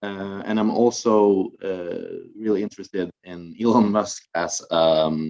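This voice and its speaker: A man with a Norwegian accent at a fairly low pitch, very slow pace, fairly even intonation, big swings in loudness and hardly any pauses. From northern Norway, Finnmark. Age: 20s. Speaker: university student. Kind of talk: student presentation. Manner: halting, many fillers.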